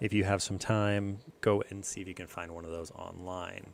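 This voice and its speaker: Quietly and at a moderate pace, a man speaks in a fairly low pitch with monotone, flat intonation. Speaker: fish-keeping youtuber. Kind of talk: live stream chat. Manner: quiet, low talker.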